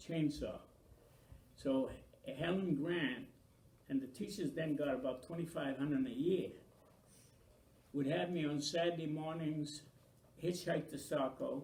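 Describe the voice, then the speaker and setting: With audible room echo, a somewhat breathy man speaks at a fairly slow pace and fairly high pitch, with ordinary pitch variation and long, frequent pauses. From Maine, US (Franco-American). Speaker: local elder interviewee. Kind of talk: oral history interview.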